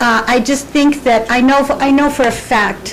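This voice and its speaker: The intonation stays fairly even. Audible room echo and noticeable background noise fill the recording. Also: woman. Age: 60s. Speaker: nonprofit volunteer. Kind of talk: public comment at council meeting. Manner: halting.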